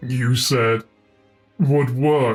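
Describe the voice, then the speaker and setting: With faint music in the background, a man uses a put-on character voice at a medium pitch. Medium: read story.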